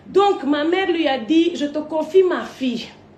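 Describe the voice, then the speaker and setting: Audible room echo surrounds a woman whose voice sits at an extremely high pitch. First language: not French (speaking French). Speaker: online personality. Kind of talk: storytelling rant to camera. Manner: animated.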